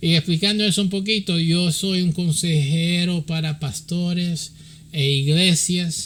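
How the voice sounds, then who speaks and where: A man speaks in a high pitch at a fairly slow pace. His intonation stays fairly even. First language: English (speaking Spanish). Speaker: pastor and church counselor. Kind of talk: religious teaching. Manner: halting, many fillers.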